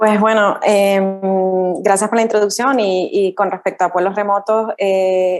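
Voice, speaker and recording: Speaking in a Canarian accent, a woman keeps a fairly slow pace at medium pitch with hardly any pauses. Her intonation is monotone and flat, and her loudness stays very even. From Canary Islands, Tenerife. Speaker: rural tourism entrepreneur. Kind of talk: interview.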